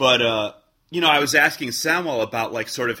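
A normal speaking voice from a man with an American accent at a fairly quick pace, on a very clean recording with a silent background. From US Midwest, Chicago. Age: 30s. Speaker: indie rock frontman. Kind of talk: casual interview chat.

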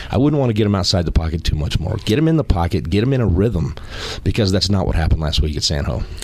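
Very wide pitch swings mark this man's very deep, low voice as he talks at a very fast pace amid noticeable background noise. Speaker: former college football player, analyst. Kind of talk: casual sports talk.

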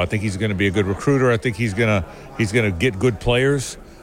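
A man speaks at a very fast pace in a medium pitch. Noticeable background noise runs underneath. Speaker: sports media commentator. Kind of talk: radio interview.

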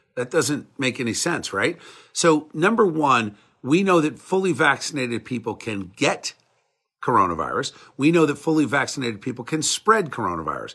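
A man with an American accent has a fairly high pitch, very wide pitch swings, vocal fry and a bright, sharp tone, on a very clean recording with a silent background. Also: moderate pace. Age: 50s. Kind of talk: live-stream monologue answering viewer chat. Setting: Facebook Live video stream. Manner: animated.

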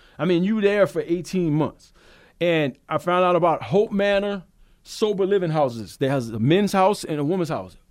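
On a very clean recording with a silent background, a man speaks at a moderate pace. His pitch is high. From Louisiana, south of New Orleans. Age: 40s. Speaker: recovering alcoholic, sobriety talk host. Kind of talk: testimony. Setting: studio.

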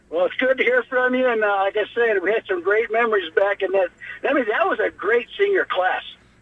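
A man's high-pitched voice at a fairly quick pace, lively in intonation and very even in loudness, over noticeable background noise. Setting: phone call.

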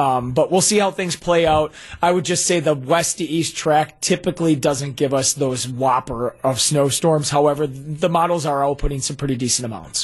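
Against noticeable background noise, a man talks with hardly any pauses. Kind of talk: casual radio interview with weather forecast.

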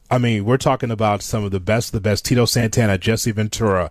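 A man's fairly low voice on a very clean recording with a silent background. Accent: American. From Chicago, US Midwest. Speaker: wrestling radio host. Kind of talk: casual chat. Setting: studio. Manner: animated.

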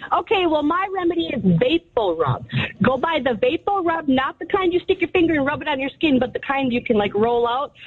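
Through noticeable background noise, a woman with a high pitch talks at a fairly quick pace, her tone energetic and her intonation lively. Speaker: caller. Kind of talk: casual chat.

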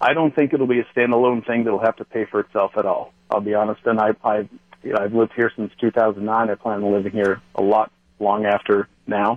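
With an American accent and an ordinary speaking voice, a man talks at a fairly quick pace, fairly low in pitch and with fairly even intonation. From Wisconsin, Waukesha. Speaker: local politician. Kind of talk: phone-in discussion.

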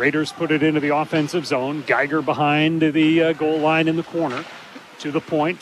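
A man with a fairly high pitch over noticeable background noise. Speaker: radio sports broadcaster. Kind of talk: live play-by-play commentary. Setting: rink broadcast table, in arena. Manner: fast, fluent, clipped play-by-play delivery.

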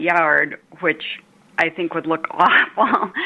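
A woman with an American accent speaks in a fairly low pitch. Her tone is bright and sharp, her intonation monotone and flat. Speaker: caller. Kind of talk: radio call-in, describing a home problem. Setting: phone call.

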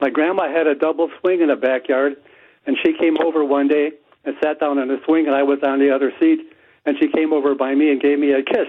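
A man speaks very fast at a fairly high pitch. His intonation is monotone and flat, and his loudness stays very even. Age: 80s+. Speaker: caller. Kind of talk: casual chat. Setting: phone call.

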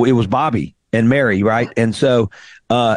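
A man speaks at a fairly slow pace with a Southern US accent. The sound is dry and close with no echo, over a quiet background. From Mississippi (Greenville). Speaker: radio host and singer-songwriter. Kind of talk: interview.

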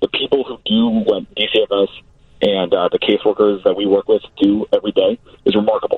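A man speaks at a moderate pace. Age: 20s. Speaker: foster care nonprofit director. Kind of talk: interview. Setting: phone call.

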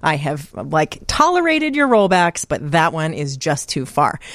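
The woman has an unremarkable speaking voice at a fairly low pitch. Her intonation is lively. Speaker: film festival director. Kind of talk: casual chat. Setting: studio.

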